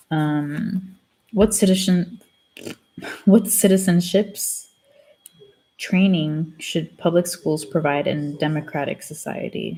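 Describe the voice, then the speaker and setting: A woman with a fairly low, somewhat breathy voice and a dark, mellow tone speaks very slowly, with ordinary pitch variation. She leaves long, frequent pauses. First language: Spanish. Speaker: student vlogger. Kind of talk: casual chat. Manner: casual, hesitant with fillers.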